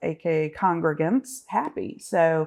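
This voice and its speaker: A woman talks in a Southern US accent. Her pitch is fairly low. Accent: Southern American. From US South, Augusta, Georgia. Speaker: business association director. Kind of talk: podcast interview. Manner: hesitant, many fillers and repeats.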